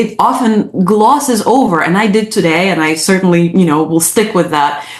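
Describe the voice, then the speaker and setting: Loudness stays very even and there are hardly any pauses, with noticeable background noise throughout. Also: woman. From Ukraine. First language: Russian or Ukrainian. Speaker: psychologist. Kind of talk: interview. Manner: halting.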